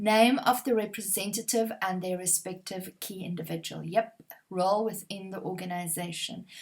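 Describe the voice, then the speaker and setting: A somewhat breathy woman with an Afrikaans accent and fairly even intonation. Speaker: exam prep trainer. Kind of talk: tutorial. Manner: conversational, uses fillers.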